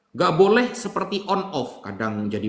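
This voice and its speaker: This man talks at a moderate pace with very wide pitch swings. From Java. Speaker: Islamic preacher answering questions. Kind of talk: religious Q&A.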